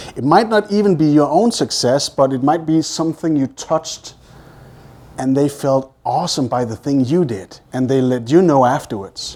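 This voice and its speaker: With a Danish accent, the speaker sounds animated, using lively intonation at a moderate pace. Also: man. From Denmark. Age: 40s. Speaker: hypnosis trainer. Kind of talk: live presentation with group hypnosis exercise. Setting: meeting room with live audience.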